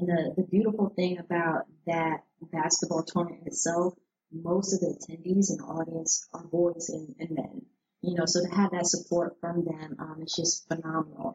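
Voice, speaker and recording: A normal speaking voice with an American accent, fairly even intonation and a moderate pace. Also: woman, fairly low pitch for a woman. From New Jersey. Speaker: former basketball player and sports nonprofit founder. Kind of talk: casual interview.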